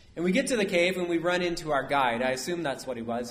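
A man talks at a very fast pace. Audible room echo follows his voice. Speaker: priest. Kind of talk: sermon. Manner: conversational, asks audience questions.

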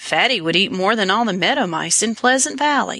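Putting on a croaky character voice, a woman talks fairly quickly at a fairly high pitch.

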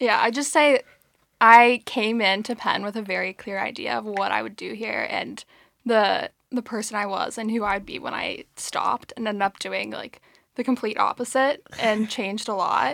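In a plain, everyday voice, a woman with a fairly high pitch speaks at a moderate pace with fairly even intonation, in a very clean recording with a silent background and a dry, close sound with no echo. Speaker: graduating college senior. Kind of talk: casual chat.

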